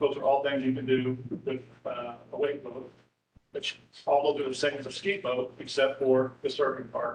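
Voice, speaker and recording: A man with an American accent, medium pitch, fairly even intonation and big swings in loudness. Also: moderate pace. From central Illinois (Neoga). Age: 60s. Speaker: public commenter at council meeting. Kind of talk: public comment. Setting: city council meeting.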